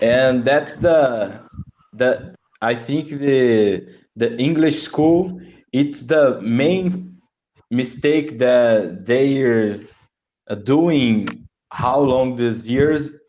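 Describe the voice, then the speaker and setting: Very slow and very even in loudness, a man speaks with long, frequent pauses. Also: medium pitch for a man, ordinary pitch variation. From Brazil. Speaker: English learner. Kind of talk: casual chat. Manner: halting.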